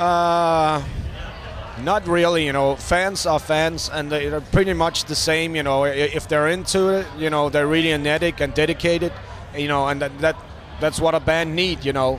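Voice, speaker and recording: A non-native accent at a moderate pace, monotone and flat in intonation, with noticeable background noise. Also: man, fairly high pitch for a man. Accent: foreign. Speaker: rock musician. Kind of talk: interview. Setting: backstage at a music festival. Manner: hesitant, many fillers.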